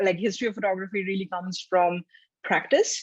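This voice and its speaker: The speaker has a Bengali accent and a fairly even intonation. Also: woman. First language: Bangla. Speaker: photography historian. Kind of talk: interview. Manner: hesitant, many fillers.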